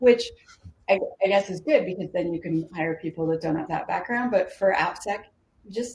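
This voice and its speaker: At a moderate pace, a woman speaks in a somewhat breathy voice with a medium pitch. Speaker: security specialist panelist. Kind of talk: panel discussion.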